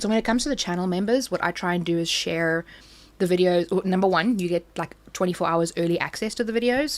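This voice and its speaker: Very fast and animated in tone, a woman with a South African accent speaks at a medium pitch with ordinary pitch variation on a very clean recording with a silent background. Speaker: crafting YouTuber. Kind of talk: casual live stream chat.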